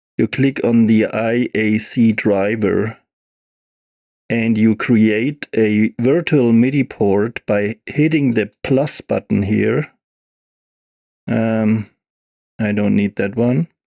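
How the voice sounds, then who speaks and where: A man speaks very slowly, with long, frequent pauses and a dark, mellow tone. His intonation is fairly even, his loudness very even, and the sound dry and close with no echo. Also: medium pitch for a man. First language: not English. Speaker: music software tutorial creator. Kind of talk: tutorial. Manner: halting, with fillers.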